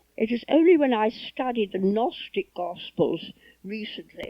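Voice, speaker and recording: The speaker keeps a moderate pace. The pitch swings very widely. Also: woman. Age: 90s. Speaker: priestess and spiritual author. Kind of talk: personal reminiscence.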